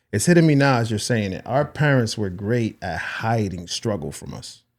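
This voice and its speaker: In a very clean recording with a silent background, a man with an unremarkable speaking voice and medium pitch talks at a moderate pace, with lively intonation and big swings in loudness. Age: 40s. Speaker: podcast host. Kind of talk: casual interview chat.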